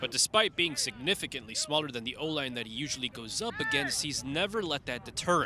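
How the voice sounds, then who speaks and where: Over noticeable background noise, a man with a fairly high pitch talks at a very fast pace, with lively intonation and hardly any pauses. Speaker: sports reporter. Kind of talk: sports feature narration.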